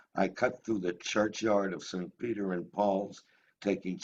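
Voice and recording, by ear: The intonation stays fairly even while the speaker is reading aloud in a natural voice.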